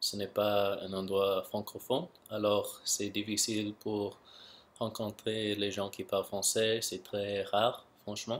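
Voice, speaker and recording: On a very clean recording with a silent background, a man with an English accent speaks at a very slow pace in a monotone, flat intonation. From Canada, Vancouver. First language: English (speaking French). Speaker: YouTuber, language learner. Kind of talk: casual vlog monologue. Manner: halting.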